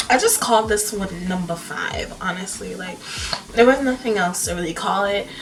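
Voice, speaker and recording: A quiet woman speaks at a moderate pace and medium pitch with ordinary pitch variation and big swings in loudness, over noticeable background noise and audible room echo. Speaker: makeup artist and painter vlogger. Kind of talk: casual vlog talk. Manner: talking quietly.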